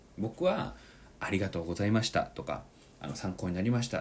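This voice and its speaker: A man speaks in an animated tone. He keeps a moderate pace. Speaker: podcast host. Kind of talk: casual monologue.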